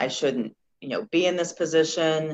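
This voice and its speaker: Moderate pace and fairly even intonation from a woman. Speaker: former car dealership worker. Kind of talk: interview. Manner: halting.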